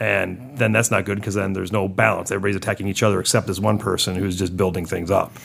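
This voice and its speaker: A man talks at a very fast pace with hardly any pauses, in a fairly low pitch. His intonation is monotone and flat, and there is noticeable background noise. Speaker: board game podcast co-host. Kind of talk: casual chat.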